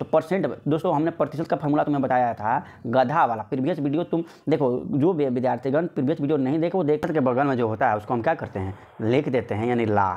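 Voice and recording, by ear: The voice has a slightly mellow tone and ordinary pitch variation. It moves at a fast pace with few pauses. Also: man, medium pitch for a man.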